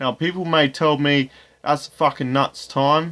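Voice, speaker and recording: At a fairly slow pace, a man speaks with fairly high pitch and fairly even intonation. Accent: Australian. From Australia. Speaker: gaming YouTuber. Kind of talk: tutorial.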